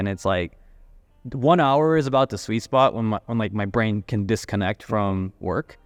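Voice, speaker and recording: Music plays behind a man's voice. He speaks at a fairly low pitch with ordinary pitch variation. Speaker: entrepreneur and designer. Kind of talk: casual chat. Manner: getting softer.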